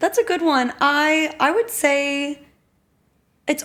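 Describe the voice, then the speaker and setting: A woman speaks with very wide pitch swings. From Texas, Austin. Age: 20s. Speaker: grad student. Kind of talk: casual chat.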